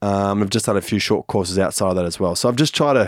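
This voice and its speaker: A very clean recording with a silent background, the sound dry and close with no echo. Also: man. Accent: Australian. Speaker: professional footballer. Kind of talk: casual chat.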